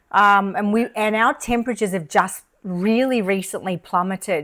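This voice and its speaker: In an Australian accent, a woman speaks with fairly even intonation. Her pitch sits in the medium range. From Australia, Melbourne. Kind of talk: casual chat.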